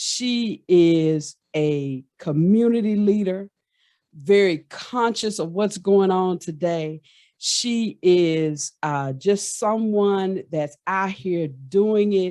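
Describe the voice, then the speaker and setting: The pace is very slow. The background stays quiet. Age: 50s. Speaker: podcast host. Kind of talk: casual chat.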